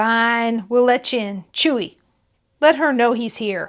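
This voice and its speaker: In a put-on character voice, a woman projects at a fairly high pitch and a fairly slow pace on a very clean recording with a silent background. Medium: read story. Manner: rude, slangy.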